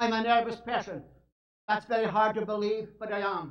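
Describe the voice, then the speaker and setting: Speaking at a moderate pace, a man with a Scottish accent has an extremely high pitch and fairly even intonation. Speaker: evangelist. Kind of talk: sermon.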